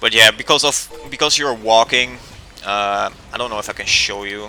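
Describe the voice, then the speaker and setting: Moderately paced speech from a man with a non-native accent, medium pitch, ordinary pitch variation, big swings in loudness and noticeable background noise. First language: not English. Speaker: gaming youtuber. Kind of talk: gameplay tutorial commentary. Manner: casual, with many fillers.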